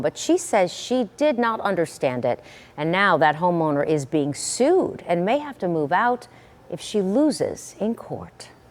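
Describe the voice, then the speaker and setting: A woman with a medium pitch speaks at a fairly slow pace with very wide pitch swings over noticeable background noise. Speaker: TV news anchor. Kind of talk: TV news intro.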